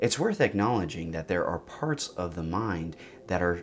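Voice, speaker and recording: The speaker is male. Some light noise sits in the background. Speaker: psychedelic therapy educator. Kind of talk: explanatory talk to camera. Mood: calm, reflective. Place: studio.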